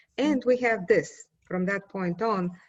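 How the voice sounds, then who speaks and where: A woman with a Bulgarian accent speaks at a medium pitch, somewhat breathy, with ordinary pitch variation over a quiet background. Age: 50s. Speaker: poet. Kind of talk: interview.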